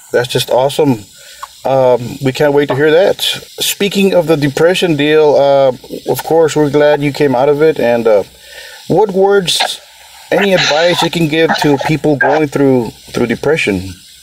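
Over noticeable background noise, a man speaks at a fairly slow pace with a fairly high pitch. His loudness stays very even, and his pitch varies in an ordinary way. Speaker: podcast host. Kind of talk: interview. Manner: enthusiastic.

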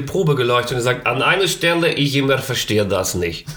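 With audible room echo and noticeable background noise, a man talks at a very fast pace in a fairly high pitch. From East Frisia, northern Germany. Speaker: actor and author. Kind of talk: casual chat. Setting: producer's home.

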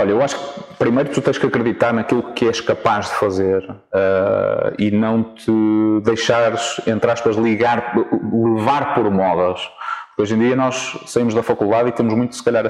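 With noticeable background noise around him, a man keeps a moderate pace, a medium pitch, and fairly even intonation. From northern Portugal, Vila Nova de Famalicão. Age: young. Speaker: football coach. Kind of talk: interview. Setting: outdoors in a city park. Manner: halting, frequent repetitions.

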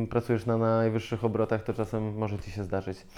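The voice has a dark, mellow tone and monotone, flat intonation. The background is quiet. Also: man. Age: 30s. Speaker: restaurant chef and owner. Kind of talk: casual interview chat. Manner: blunt, informal.

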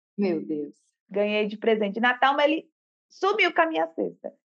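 Here is a woman with a plain, everyday voice. Her pitch is fairly high and her pace moderate. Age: 30s. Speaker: massage therapist and tarot student. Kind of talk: casual interview.

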